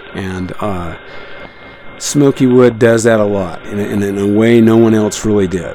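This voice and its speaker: A man's relaxed tone with an American accent, at a fairly slow pace and with fairly even intonation, with audible room echo and noticeable background noise. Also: fairly low pitch for a man. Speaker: radio host. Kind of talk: live radio broadcast. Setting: shortwave radio studio. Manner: relaxed, rambling with fillers.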